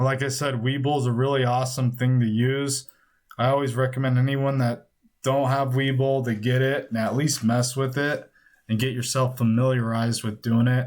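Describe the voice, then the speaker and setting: Mumbling at a moderate pace, a man speaks in a monotone, flat intonation with very even loudness. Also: medium pitch for a man. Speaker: stock trading YouTuber. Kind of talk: screen-recorded software tutorial. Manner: casual, loose delivery.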